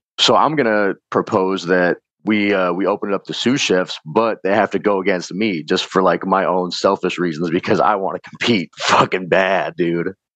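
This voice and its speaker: With hardly any pauses and fairly even intonation, the voice sounds dry and close with no echo. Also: man, very deep, low pitch for a man, moderate pace. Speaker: chef. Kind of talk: casual chat.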